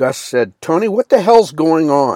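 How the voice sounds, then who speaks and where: Here a man uses a normal speaking voice at a moderate pace, with ordinary pitch variation and a dry, close sound free of echo. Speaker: audiobook narrator. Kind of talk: audiobook reading of a novel-style story, scripted narration. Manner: steady narrator pace, plain storytelling; shifts to voice characters in quoted dialogue, some exasperation.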